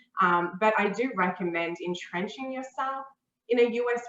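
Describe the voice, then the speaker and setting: A woman with an Australian accent speaks at a fairly high pitch with ordinary pitch variation. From Australia, Melbourne. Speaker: talent acquisition manager. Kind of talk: interview.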